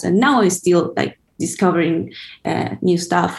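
A woman with a fairly low pitch speaks with vocal fry and fairly even intonation. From Buenos Aires, Argentina. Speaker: DJ, music curator and radio host. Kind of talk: radio interview. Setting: remote call from LA. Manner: hesitant, with fillers and restarts.

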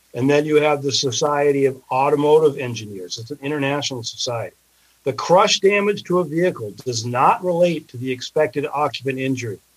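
A man with a normal speaking voice talks at a fairly quick pace in a fairly high pitch, with ordinary pitch variation and big swings in loudness. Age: 60s. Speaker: personal injury lawyer. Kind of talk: interview.

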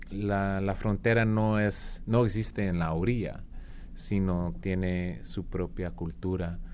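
A man speaks very slowly at a fairly low pitch with ordinary pitch variation, and room echo is audible. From Arizona, US. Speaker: author, former border patrol agent. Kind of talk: interview. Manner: halting, many fillers and repetitions.

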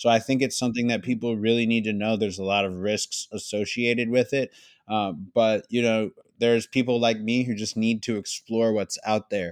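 A medium-pitched man with an American accent, moderate pace and monotone, flat intonation, in a dry, close sound with no echo and a very clean recording with a silent background. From US, Philadelphia. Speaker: rapper and entrepreneur. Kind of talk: interview.

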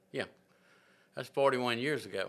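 A man talks with a Southern US accent at medium pitch. His tone is bright and sharp. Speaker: farmer and prison ministry volunteer. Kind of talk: testimony. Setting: in-person conversation. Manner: halting.

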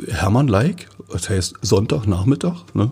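A man with a fairly low pitch and lively intonation speaks in a plain, everyday voice. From Forst, Lusatia, eastern Germany. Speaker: magazine editor-in-chief. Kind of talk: casual interview.

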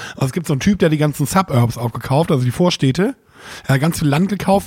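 A man's fairly high-pitched voice at a very fast pace, with lively intonation. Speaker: podcast co-host. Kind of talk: casual chat.

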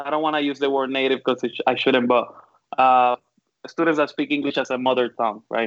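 Fairly quick speech from a medium-pitched man with a strong Puerto Rican accent. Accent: thick Puerto Rican (Caribbean Spanish). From Puerto Rico. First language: Spanish. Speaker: design professor. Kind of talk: panel discussion. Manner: talkative, animated.

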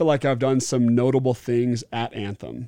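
On a very clean recording with a silent background, a man with an American accent speaks at a fairly slow pace. His medium-pitched voice has a dark, mellow tone and a dry, close sound with no echo. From Oregon, US Pacific Northwest. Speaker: former NFL player and entrepreneur. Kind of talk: casual interview.

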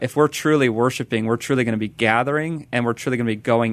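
Here a man with an ordinary speaking voice talks at medium pitch with fairly even intonation. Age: 20s. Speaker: evangelism director and ministry co-founder. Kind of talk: interview. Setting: radio studio.

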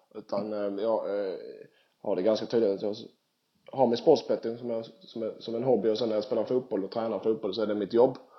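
A man at a medium pitch talks at a fairly quick pace in a monotone, flat intonation. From southern Sweden (Skåne). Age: 30s. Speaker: professional footballer. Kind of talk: casual interview. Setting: Skype call.

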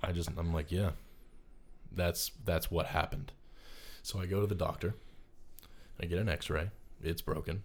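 At a moderate pace, a man with an American accent speaks in a very deep, low, somewhat breathy voice with fairly even intonation, very even loudness and long, frequent pauses, on a very clean recording with a silent background. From North Carolina, US South. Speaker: film student. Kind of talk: casual interview chat.

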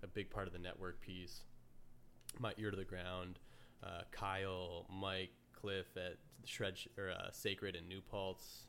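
A man with an American accent, very deep and low in pitch, in a monotone, flat intonation. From upstate New York, near Amsterdam. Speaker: podcast host. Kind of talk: casual chat.

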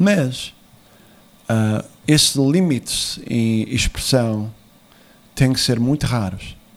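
A man talks at a very slow pace with a medium pitch. Long pauses come often. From USA, Portuguese immigrant family. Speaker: former political adviser. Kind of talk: interview. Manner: halting.

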